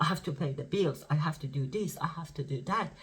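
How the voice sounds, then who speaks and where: A moderate pace in a Persian accent. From Iran. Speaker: spiritual teacher. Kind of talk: spiritual talk to camera. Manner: casual, halting.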